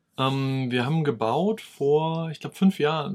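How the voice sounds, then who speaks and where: A man with a plain, everyday voice, fairly high in pitch with ordinary pitch variation, on a very clean recording with a silent background. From East Frisia, northern Germany. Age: 30s. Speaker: YouTuber on smart home tech. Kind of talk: casual chat.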